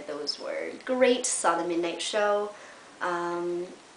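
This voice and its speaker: Very wide pitch swings and a very slow pace come through with audible room echo. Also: woman. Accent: Canadian. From Canada, Windsor, Ontario. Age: 20s. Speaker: journalism student vlogger. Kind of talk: casual vlog monologue. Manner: animated.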